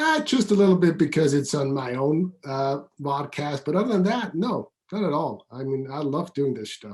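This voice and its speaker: This man has a Swiss accent and a fairly high pitch, speaking at a moderate pace. His intonation is lively and his voice is somewhat breathy. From Switzerland, outskirts of Zurich. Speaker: business coach. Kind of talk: interview.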